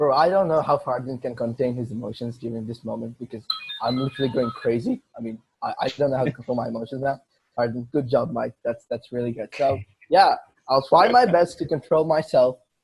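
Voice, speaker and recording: A man speaks at a fairly quick pace in a medium pitch, with ordinary pitch variation. Music plays in the background. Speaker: podcast host. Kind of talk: casual chat. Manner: loud; animated.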